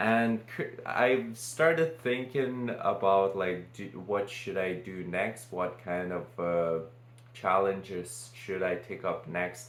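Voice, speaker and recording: Very slow speech from a man with a Lithuanian accent, fairly low in pitch with ordinary variation, plus audible room echo. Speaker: vlogger. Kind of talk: casual unscripted monologue. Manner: halting.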